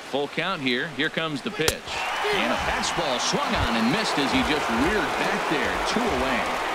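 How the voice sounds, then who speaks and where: Against crowd noise in the background, a man with a fairly high pitch speaks at a moderate pace with lively intonation, hardly any pauses, and very even loudness. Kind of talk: live sports commentary. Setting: game broadcast audio.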